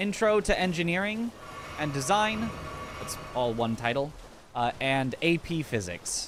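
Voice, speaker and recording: A man with an American accent speaks at a fairly high pitch, his voice swinging very widely in pitch. He leaves long, frequent pauses over noticeable background noise. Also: fairly slow pace. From US Pacific Northwest. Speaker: video game streamer and speedrunner. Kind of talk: live stream chat.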